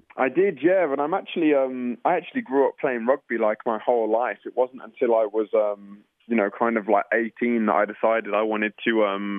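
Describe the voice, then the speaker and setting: Speaking in an English accent at a moderate pace, this voice has ordinary pitch variation and hardly any pauses. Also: man. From England. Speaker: musical theatre actor. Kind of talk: radio interview. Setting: phone or remote call.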